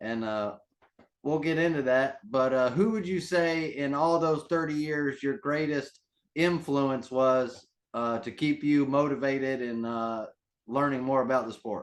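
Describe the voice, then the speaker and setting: A man's plain, everyday voice, fairly high in pitch, at a fairly slow pace with ordinary pitch variation over a quiet background. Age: 30s. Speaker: interviewer. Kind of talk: interview.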